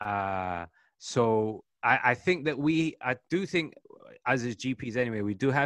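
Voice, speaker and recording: A man with a British accent talks very slowly at a medium pitch. The sound is dry and close with no echo, against a quiet background. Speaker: general practitioner. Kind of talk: panel discussion.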